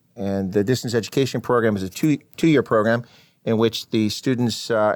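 In an ordinary speaking voice with an American accent, a man talks at a fairly quick pace and a fairly low pitch. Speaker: military officer and professor. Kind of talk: interview.

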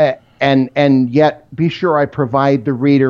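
Speaking in an Upper Midwest accent, a man has a dark, mellow tone. His intonation is fairly even. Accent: Upper Midwest American. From Michigan (Rochester, near Detroit). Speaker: technical author. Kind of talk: interview.

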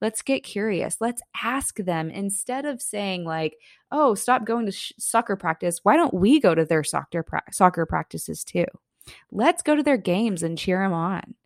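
A woman's ordinary speaking voice at medium pitch and moderate pace, intonation lively, the sound dry and close with no echo, in a very clean recording with a silent background. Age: 30s. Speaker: pastor. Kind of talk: talk on church ministry.

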